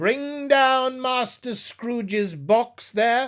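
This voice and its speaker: A put-on character voice from a man, raised and projected, extremely high in pitch, at a very slow pace. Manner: ferocious, commanding.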